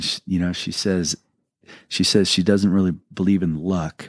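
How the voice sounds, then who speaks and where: A man speaks at a very deep, low pitch in a flat monotone, at a moderate pace. The recording is very clean with a silent background, and the sound is dry and close with no echo. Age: 50s. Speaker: musician. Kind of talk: interview. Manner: halting.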